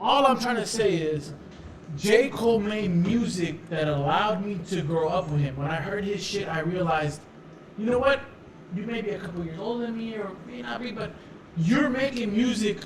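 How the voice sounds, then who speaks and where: There is noticeable background noise and audible room echo as a man talks at a moderate pace. His high-pitched voice has lively intonation. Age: 20s. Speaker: podcast co-host. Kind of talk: casual chat. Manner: animated.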